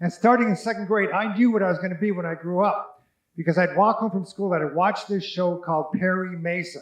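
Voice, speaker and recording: A man with an American accent speaks at a high pitch and a fairly quick pace, his intonation fairly even. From US Pacific Northwest, Tacoma, Washington. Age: 60s. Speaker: judicial candidate, lawyer. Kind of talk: candidate forum speech.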